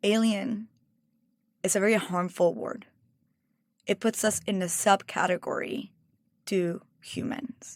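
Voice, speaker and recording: Speaking with a Mexican accent, a woman uses ordinary pitch variation. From Mexico. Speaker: cookbook author and food stylist. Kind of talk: interview conversation.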